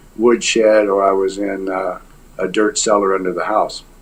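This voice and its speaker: A man's fairly low voice at a moderate pace, flat and monotone in intonation. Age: 60s. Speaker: abuse survivor, retired army veteran. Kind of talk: interview testimony. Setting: video call. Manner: hesitant, many fillers.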